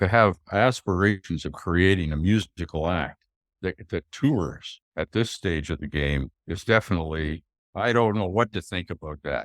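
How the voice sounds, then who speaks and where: At a moderate pace, a man speaks in a very deep, low pitch with ordinary pitch variation, the sound dry and close with no echo. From Canada. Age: 80s+. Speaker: golf pro and author. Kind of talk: interview conversation. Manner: halting.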